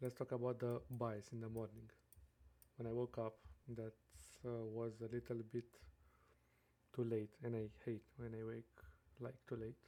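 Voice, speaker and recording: Monotone, flat intonation in a dark, mellow tone at a moderate pace, broken by long, frequent pauses. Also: man, medium pitch for a man. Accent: non-native. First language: not English. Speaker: day trader. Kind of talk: screen-share trading tutorial. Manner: halting, many fillers.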